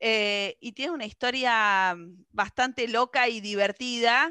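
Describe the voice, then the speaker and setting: A woman speaks with an Argentine accent in a bright, sharp tone. The sound is dry and close with no echo, over a quiet background. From Argentina. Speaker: radio host. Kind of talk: radio interview.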